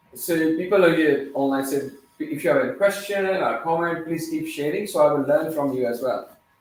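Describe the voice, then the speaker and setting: Against audible room echo, a man speaks with a fairly high pitch. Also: ordinary pitch variation, moderate pace. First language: not English. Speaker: teacher / youth workshop leader. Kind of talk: interactive talk to children. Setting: training facility, live-streamed. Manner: halting, with fillers.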